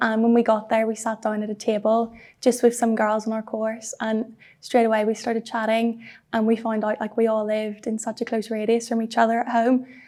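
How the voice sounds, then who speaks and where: In a Northern Irish accent, a woman speaks at a fairly quick pace with a fairly high pitch, a dark, mellow tone and flat, monotone intonation. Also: very clean recording, silent background. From Belfast, Northern Ireland. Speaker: university student. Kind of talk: interview answer.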